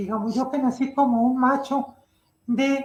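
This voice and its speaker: With a high pitch, a woman speaks in a fairly even intonation. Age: 60s. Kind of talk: interview.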